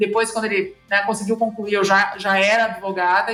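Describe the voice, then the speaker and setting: Monotone, flat delivery at a fairly quick pace, with noticeable background noise. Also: woman. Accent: southern Brazilian. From interior of Rio Grande do Sul, southern Brazil. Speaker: lawyer. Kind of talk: podcast interview.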